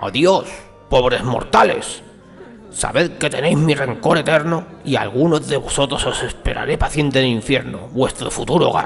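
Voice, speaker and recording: Over clear background music, a man in a put-on character voice talks at a moderate pace and a fairly high pitch. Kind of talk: comic storytelling. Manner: irritable, exasperated.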